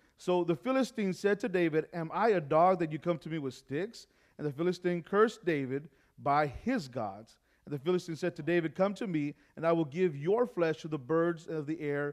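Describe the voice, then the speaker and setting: Moderate speed from a male speaker, quiet surroundings behind him. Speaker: preacher. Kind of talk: sermon. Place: church.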